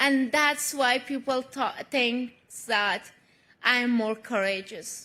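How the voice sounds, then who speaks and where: Her voice is high-pitched, bright and sharp, raised and projected. The woman speaks very slowly. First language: not English. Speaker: award honoree, activist. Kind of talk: award acceptance speech. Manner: emotional, halting.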